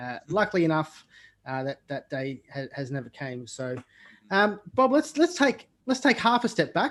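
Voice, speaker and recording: Over a quiet background, a man talks at a moderate pace in a high voice, with very wide pitch swings and big swings in loudness. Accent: Australian. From Australia. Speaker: podcast host. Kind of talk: podcast interview. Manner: hesitant, many fillers.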